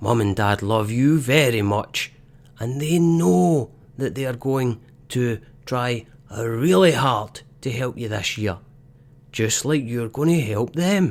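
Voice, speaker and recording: A gruff, put-on character voice from a man, fairly slow, with lively intonation and medium pitch. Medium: read story.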